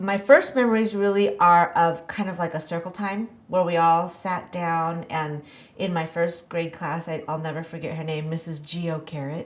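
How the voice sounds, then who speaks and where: A woman at a moderate pace, fairly low in pitch, with ordinary pitch variation and hardly any pauses. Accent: American. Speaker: podcast guest. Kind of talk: interview conversation. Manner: hesitant, many fillers.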